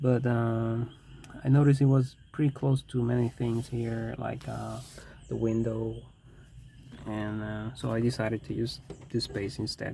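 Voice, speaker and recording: A man with a non-native accent, medium in pitch, fairly slow and fairly even in intonation, with long, frequent pauses. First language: not English. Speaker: DIY car vlogger. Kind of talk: tutorial. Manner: halting; casual.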